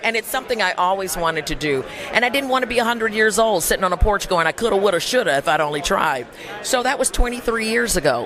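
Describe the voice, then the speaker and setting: A woman at a medium pitch speaks at a very fast pace, her pitch swinging very widely. Noticeable background noise runs underneath. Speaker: voice actor. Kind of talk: interview answer. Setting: outdoors, red carpet event.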